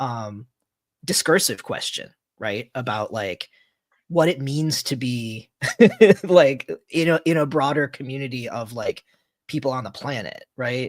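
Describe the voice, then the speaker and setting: A man speaks at a fairly slow pace and medium pitch, with long, frequent pauses. His pitch varies in an ordinary way, and the sound is dry and close with no echo. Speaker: podcast host. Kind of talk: interview question. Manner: hesitant, filler-heavy.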